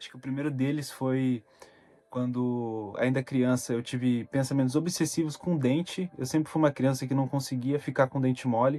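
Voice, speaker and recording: A man's medium-pitched, monotone voice with flat intonation at a fairly quick pace. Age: 20s. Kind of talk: personal talk to camera about mental health.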